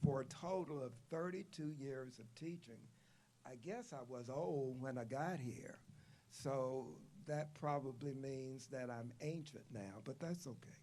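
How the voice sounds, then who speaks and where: A man with a medium pitch and a dark, mellow tone speaks at a fairly slow pace. Audible room echo surrounds his voice. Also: ordinary pitch variation. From US South, southwest Virginia (Glade Spring). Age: 70s. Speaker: retired professor, commencement speaker. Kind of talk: commencement speech.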